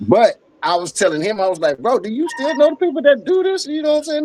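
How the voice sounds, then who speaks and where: A Southern US accent at a fairly quick pace, dry and close with no echo. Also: man. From northern Louisiana (Ruston). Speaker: podcast host. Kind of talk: casual chat.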